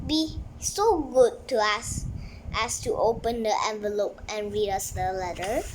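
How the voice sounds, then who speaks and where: A woman's put-on character voice at a fairly slow pace, with clear background noise. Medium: read story. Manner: polite, courteous.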